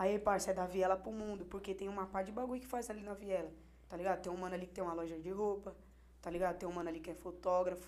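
A woman rushes at a very fast pace with medium pitch and fairly even intonation, her loudness swinging widely. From Hortolândia, interior of São Paulo state, Brazil. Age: 20s. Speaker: rapper. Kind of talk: casual chat.

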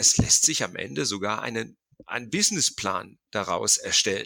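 His tone is bright and sharp, with vocal fry. The man's pitch is medium and his pace fairly slow. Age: 50s. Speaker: football academy founder. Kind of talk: interview.

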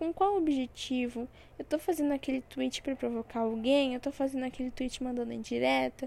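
A woman talks fairly quickly in a high voice with a dark, mellow tone. Her pitch varies an ordinary amount. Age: 20s. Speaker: podcaster. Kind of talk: casual monologue. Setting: at home.

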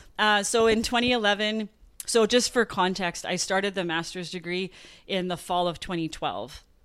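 A woman's medium-pitched voice in a Canadian prairie accent, moderately paced with ordinary pitch variation, in a very clean recording with a silent background. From rural Saskatchewan and Manitoba, Canada. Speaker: former track athlete and coach, wellness consultant. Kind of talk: interview storytelling.

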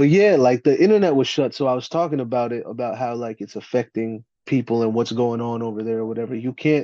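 In a New Jersey accent, a man speaks at medium pitch with a dark, mellow tone and ordinary pitch variation. The sound is dry and close with no echo, and the background is quiet. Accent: New Jersey American English. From US, New Jersey. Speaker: battle rapper. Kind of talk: casual chat.

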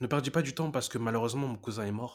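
A man talks in a medium pitch. The variation in his pitch is ordinary. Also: very clean recording, silent background. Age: 20s. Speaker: life coach podcast host. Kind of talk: motivational monologue. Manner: animated.

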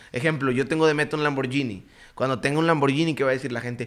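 Animated and very fast, a man talks at a fairly high pitch. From Mexico, Juárez, Nuevo León. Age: 20s. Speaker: network marketing entrepreneur. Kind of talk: podcast interview.

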